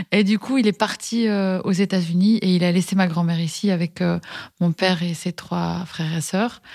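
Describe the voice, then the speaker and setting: A woman at medium pitch with fairly even intonation and a fairly slow pace, on a very clean recording with a silent background. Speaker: schoolteacher and communication trainer. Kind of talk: interview testimony. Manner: halting, many fillers and repetitions.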